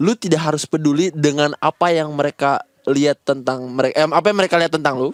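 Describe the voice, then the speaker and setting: With hardly any pauses, a man talks at a very fast pace in a fairly high pitch and fairly even intonation, the sound dry and close with no echo. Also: very even loudness, very clean recording, silent background. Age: 20s. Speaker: comedian. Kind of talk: casual chat.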